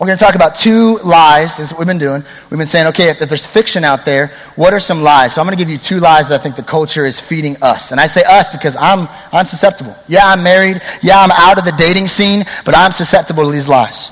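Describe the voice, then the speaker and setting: Noticeable background noise sits behind a man talking at a very fast pace. His voice is high-pitched, with ordinary pitch variation. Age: 20s. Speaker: youth pastor. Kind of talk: sermon. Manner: casual, conversational.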